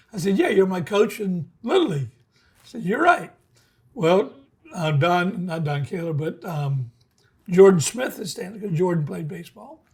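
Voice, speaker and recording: With an American accent, a man talks at a high pitch and a moderate pace, his intonation lively. His loudness swings widely, and he takes long, frequent pauses. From South Florida (Boca Raton). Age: 70s. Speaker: tackle shop owner. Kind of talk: casual chat.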